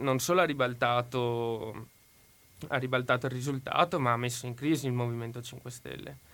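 This man's medium-pitched voice has a bright, sharp tone and big swings in loudness. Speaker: university student. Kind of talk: current affairs commentary. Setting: studio.

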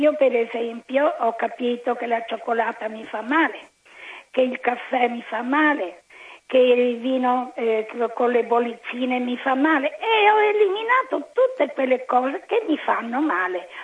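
A high-pitched woman with lively intonation over noticeable background noise. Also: fairly slow pace. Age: 80s+. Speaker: caller. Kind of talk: casual chat. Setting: phone call.

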